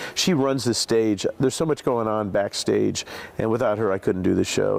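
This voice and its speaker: A man talks in an ordinary speaking voice at medium pitch. His pace is fairly quick and his intonation fairly even. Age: 60s. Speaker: TV game show host. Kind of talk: interview answer.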